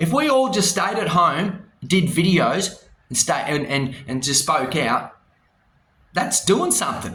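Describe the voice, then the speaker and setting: Speaking in an Australian accent at a fairly slow pace, a man with a high pitch sounds animated, his pitch swinging very widely. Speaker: vlogger. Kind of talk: casual rant to camera. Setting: hotel room.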